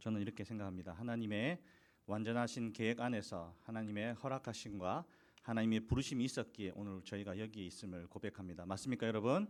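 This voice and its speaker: His pace is very fast. The man's voice sits fairly low in pitch. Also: ordinary pitch variation, very clean recording, silent background. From South Korea, Busan. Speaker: missionary preacher. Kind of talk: sermon. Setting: church.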